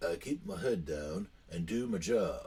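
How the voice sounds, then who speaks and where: In a put-on character voice, a man speaks gravelly at a medium pitch and moderate pace, his pitch swinging very widely. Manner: curt, guarded.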